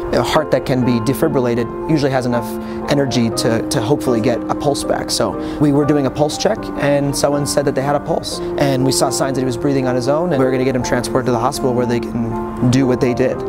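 Over loud music in the background, a man talks at a very fast pace with a dry sound with no echo. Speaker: paramedic. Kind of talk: interview answer. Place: street. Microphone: lapel.

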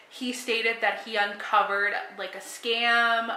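Room echo is audible as a woman speaks at a very slow pace. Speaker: true crime storyteller. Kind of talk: casual vlog chat. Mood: calm, serious. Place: home room. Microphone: phone near.

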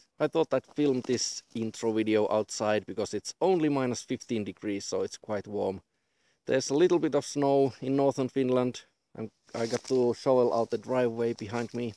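Dry sound with no echo and light background noise, a man's dark, mellow tone with ordinary pitch variation. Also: moderate pace. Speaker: vlogger. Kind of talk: casual vlog chat. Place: open country.

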